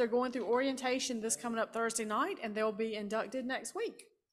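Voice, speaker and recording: A woman speaks in a high voice with ordinary pitch variation. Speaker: club meeting chair. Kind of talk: meeting chair remarks. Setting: stage with audience. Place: hall. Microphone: podium.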